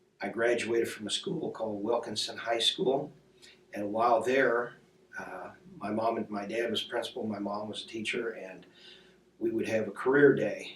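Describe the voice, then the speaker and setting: In an American accent, a man of medium pitch speaks at a moderate pace with ordinary pitch variation, and audible room echo surrounds him. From US Midwest, Indiana. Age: 60s. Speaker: war veteran. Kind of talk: oral history interview.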